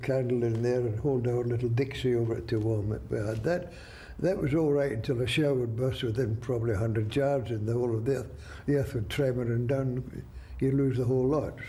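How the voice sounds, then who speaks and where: Fairly quick in pace, a man speaks at medium pitch in a dark, mellow tone that is somewhat breathy, with fairly even intonation. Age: 80s+. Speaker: war veteran. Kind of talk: interview answer.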